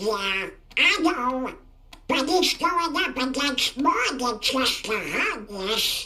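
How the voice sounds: This is a cartoonish character voice pitched high. It goes at a very slow pace.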